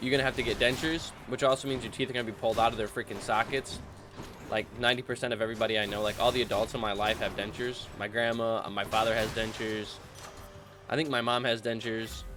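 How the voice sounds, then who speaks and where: Animated in tone, a man talks at a very fast pace amid noticeable background noise. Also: medium pitch for a man. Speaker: gaming youtuber. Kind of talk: gameplay commentary. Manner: casual, animated.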